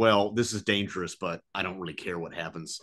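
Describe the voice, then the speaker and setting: Over a quiet background, a man with an American accent speaks at a moderate pace in a fairly low pitch. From United States. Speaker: film podcast co-host and comedian; film podcast co-host, comedian. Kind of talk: casual chat. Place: home room. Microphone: webcam.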